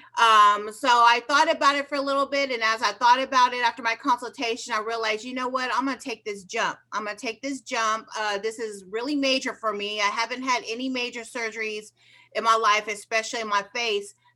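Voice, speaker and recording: At a fairly quick pace with hardly any pauses, a woman with an ordinary speaking voice talks at a fairly high pitch and a fairly even intonation. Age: 50s. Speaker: hairstylist and patient. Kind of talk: casual interview.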